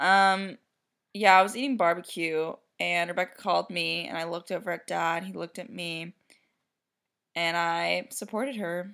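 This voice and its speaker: A woman mumbles at a moderate pace in a bright, sharp tone, leaving long, frequent pauses. Her fairly low pitch shows ordinary variation, and the recording is very clean with a silent background. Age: 20s. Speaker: vet clinic worker, host's sister. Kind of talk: casual chat. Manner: mumbling.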